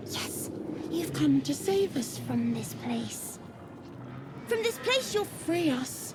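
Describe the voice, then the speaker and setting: With clear background noise behind it, a female-sounding voice in a put-on character voice moves at a very slow pace, broken by long, frequent pauses. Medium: machinima. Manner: speaks of itself as "us", hive-minded.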